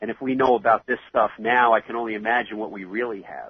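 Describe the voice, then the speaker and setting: With a New York accent, a man speaks at medium pitch in a monotone, flat manner. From New York City (Queens). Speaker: 9/11 first responder, charity founder. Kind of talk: interview.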